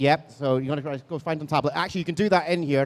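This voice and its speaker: An animated man talks in an Edinburgh accent. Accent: Scottish (Edinburgh). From Scotland, Edinburgh. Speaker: convention panel moderator. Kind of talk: live panel interview. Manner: animated, halting with many fillers.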